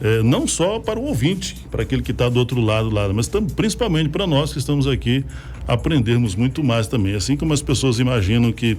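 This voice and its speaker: At a fairly quick pace, a man speaks in a medium pitch with lively intonation and very even loudness, amid noticeable background noise. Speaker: radio host. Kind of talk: casual chat.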